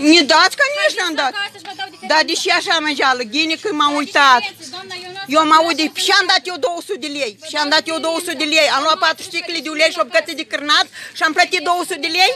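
In a Moldovan accent, a woman speaks at an extremely high pitch with a raised, projected voice and an animated tone. Her pace is moderate, her pitch variation ordinary, and the sound is dry with no echo despite noticeable background noise. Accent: Moldovan Romanian. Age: 60s. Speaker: pensioner. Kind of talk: heated argument. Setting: in a shop. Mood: indignant, arguing. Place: shop. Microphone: phone near.

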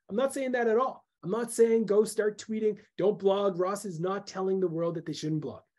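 Against a quiet background, a man uses a high, dark, mellow voice with ordinary pitch variation at a moderate pace. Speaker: webinar presenter. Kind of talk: webinar talk. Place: home room.

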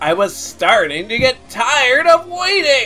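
Faint music plays behind a put-on character voice that speaks at a fairly high pitch and a fairly slow pace, with very wide pitch swings. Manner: menacing, more menacing than attempted.

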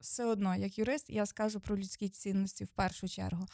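Dry and close with no echo, a woman's medium-pitched voice moves at a moderate pace in an unremarkable speaking voice. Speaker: lawyer. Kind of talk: expert explanation, interview. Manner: precise, formal, explanatory.

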